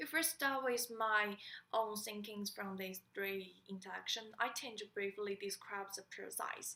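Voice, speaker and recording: In a Chinese accent, a woman speaks fairly slowly at a medium pitch with a bright, sharp tone and ordinary pitch variation. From China. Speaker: student. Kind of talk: class presentation. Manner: halting.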